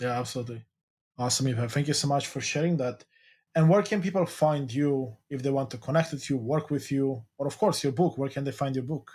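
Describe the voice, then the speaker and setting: In a very clean recording with a silent background, a man speaks at a fairly high pitch and a fairly quick pace. His voice is somewhat breathy, with ordinary pitch variation. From Eastern Europe. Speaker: podcast host. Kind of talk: interview.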